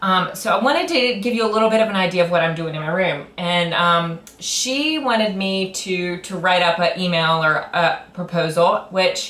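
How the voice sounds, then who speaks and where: Amid noticeable background noise and audible room echo, a woman speaks at medium pitch and a moderate pace with ordinary pitch variation. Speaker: middle school teacher. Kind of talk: grant request presentation. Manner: loud; hesitant, many fillers.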